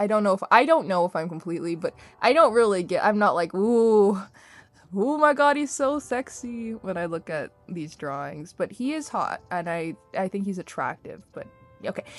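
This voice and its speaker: With music in the background, a woman at medium pitch speaks at a moderate pace, her pitch swinging very widely. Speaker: artist chatting over speedpaint. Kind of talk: casual chat.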